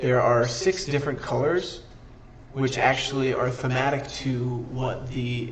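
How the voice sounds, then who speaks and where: Delivered at a fairly slow pace with fairly even intonation, the speech comes with audible room echo and noticeable background noise. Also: man, medium pitch for a man. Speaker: streamer teaching a card game. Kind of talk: livestream tutorial. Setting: live stream with chat. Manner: casual, self-correcting.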